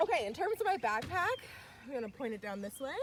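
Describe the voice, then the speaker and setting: Her intonation lively and her pace very fast, a woman speaks against noticeable background noise. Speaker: youth program leader. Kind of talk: live outdoor tutorial. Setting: outdoors in a park. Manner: loud; upbeat.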